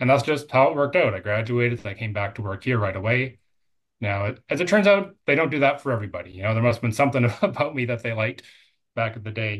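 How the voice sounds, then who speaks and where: A man with a Canadian accent talks at a very fast pace and medium pitch, with lively intonation. His voice is somewhat breathy against a quiet background. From Canada, British Columbia. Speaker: technical director of a construction materials company. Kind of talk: casual interview.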